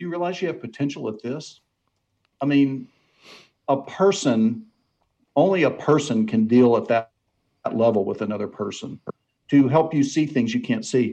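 A man's fairly high, dark and mellow voice with lively intonation, moderate pace, and long, frequent pauses. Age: 60s. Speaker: author on mentoring. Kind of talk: interview.

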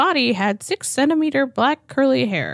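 The speech moves at a moderate speed. It is a put-on character voice. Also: female-sounding voice, high pitch for a woman. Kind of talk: clinical, formal. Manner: flat, matter-of-fact.

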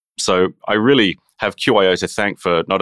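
Dry and close with no echo, in a very clean recording with a silent background, a man with an Australian accent speaks in a very deep, low voice with fairly even intonation. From Brisbane, Australia. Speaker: youth orchestra music director. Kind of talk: interview.

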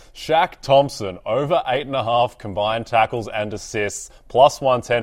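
This man speaks with an Australian accent. His pitch varies in an ordinary way. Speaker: fantasy football analyst. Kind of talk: casual chat.

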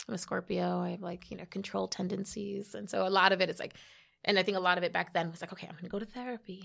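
Speaking at a very fast pace in a New York accent, a woman has a bright, sharp tone with vocal fry. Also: very clean recording, silent background. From New York City, the Bronx. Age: 30s. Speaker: health tech founder. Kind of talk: podcast interview.

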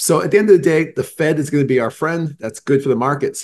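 This somewhat breathy man with an American accent talks very fast, with ordinary variation in pitch. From Boston. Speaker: chief investment officer. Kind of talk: interview.

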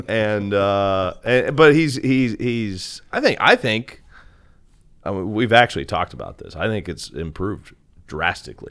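A man with a normal speaking voice and a fairly low pitch talks at a fairly slow pace with lively intonation and big swings in loudness. The recording is very clean, with a silent background. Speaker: radio broadcaster. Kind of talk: casual chat.

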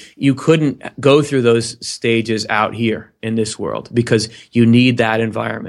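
A man speaks at a medium pitch with fairly even intonation and an unremarkable speaking voice. He talks at a fairly slow pace with hardly any pauses. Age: 30s. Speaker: webcast host on spirituality. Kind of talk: casual interview chat.

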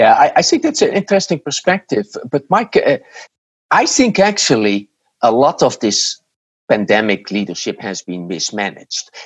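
With a Dutch accent, a man talks at a moderate pace in a dry, close sound with no echo. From Netherlands. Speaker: marketing professor and author. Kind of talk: interview. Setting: remote call from home. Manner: halting.

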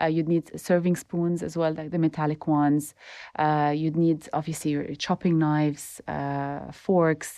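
In a monotone, flat delivery, a woman with a very deep, low pitch talks at a moderate pace with long, frequent pauses. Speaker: home baker and food blogger. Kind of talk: interview conversation.

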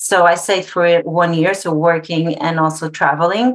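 A woman's fairly low voice with a Portuguese accent, fairly slow and with ordinary pitch variation, in a very clean recording with a silent background. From Portugal. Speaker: interior designer. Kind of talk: casual interview.

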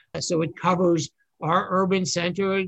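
This man has a New York accent. He talks at a moderate pace with a high pitch. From New York City. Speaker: borough manager. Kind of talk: interview.

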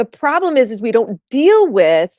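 The sound is dry and close with no echo. A woman speaks in an animated tone at a fairly slow pace. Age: 40s. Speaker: life coach. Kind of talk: casual chat.

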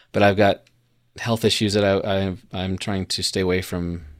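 Recorded very cleanly against a silent background, a man with an American accent speaks at a moderate pace. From Colorado. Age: 40s. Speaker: podcast co-host, former missionary. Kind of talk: casual chat.

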